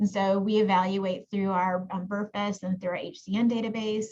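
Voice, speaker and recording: A woman speaks in a somewhat breathy voice with fairly even intonation. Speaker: genetic counselor and professor. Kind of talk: webinar presentation. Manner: fast.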